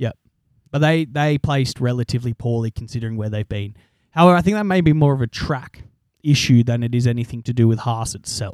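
A man with an Australian accent talks at a very fast pace, his pitch medium with ordinary variation. The sound is dry and close, with no echo. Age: 20s. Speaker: podcast host. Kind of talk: casual chat.

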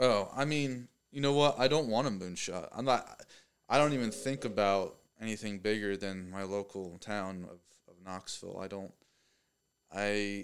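With an American accent and a plain, everyday voice, the speaker goes at a moderate pace with big swings in loudness on a very clean recording with a silent background. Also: man, fairly low pitch for a man, ordinary pitch variation. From Pennsylvania, US. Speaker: mechanical design engineer and artist. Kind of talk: casual chat. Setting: office.

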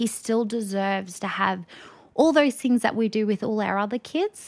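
On a very clean recording with a silent background, a woman with an Australian accent speaks at a moderate pace in a fairly high pitch. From Rockhampton, Queensland, Australia. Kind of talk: podcast interview. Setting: studio.

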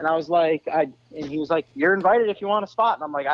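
The man races along at a very fast pace in an American accent. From Florida. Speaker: off-road racer. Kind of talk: casual chat.

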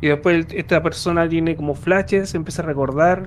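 At a fairly quick pace, a man talks in an ordinary speaking voice. His pitch is fairly high and his intonation fairly even. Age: 30s. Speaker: podcast host. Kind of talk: casual chat.

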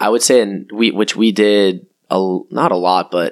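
A man with an American accent has a plain, everyday voice, a fairly low pitch and fairly even intonation. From Cape Cod, Massachusetts. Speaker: dental student. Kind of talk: casual interview chat. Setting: at guest's home, recorded in person.

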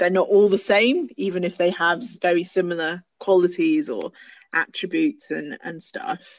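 A woman's fairly low voice in a Received Pronunciation accent, at a fairly slow pace with lively intonation, in a dry, close sound with no echo. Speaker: podcast guest, longtime friend of host. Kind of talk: casual chat. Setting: online audio call.

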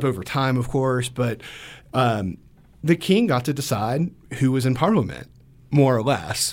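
This man's lively intonation carries some vocal fry over a very clean recording with a silent background. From US South, Georgia. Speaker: lawyer. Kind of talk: radio interview. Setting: studio. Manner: halting, many fillers.

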